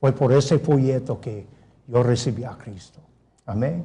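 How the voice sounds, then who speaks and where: A man with a non-native accent and a dark, mellow, somewhat breathy tone speaks at a fairly slow pace amid audible room echo. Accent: non-native Spanish, self-described poor. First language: English (speaking Spanish). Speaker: pastor. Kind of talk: sermon.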